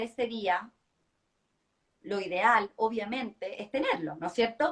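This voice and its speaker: Here a woman talks. Her voice sits fairly high in pitch. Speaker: public speaking coach. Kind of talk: live-stream interview chat. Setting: online live stream. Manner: fast.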